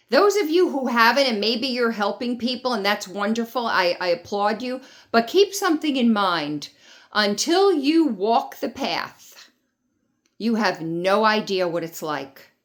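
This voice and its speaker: Speaking fairly slowly, a woman uses a fairly high pitch that swings very widely. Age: 60s. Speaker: cancer patient vlogger. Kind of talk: personal vlog testimony. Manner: animated.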